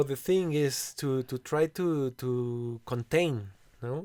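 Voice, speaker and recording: In a very clean recording with a silent background and a dry, close sound with no echo, a man with a Spanish accent speaks at a medium pitch in a dark, mellow tone with ordinary pitch variation. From Mexico City. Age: 40s. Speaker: composer and bandleader. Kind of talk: casual chat. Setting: recording studio.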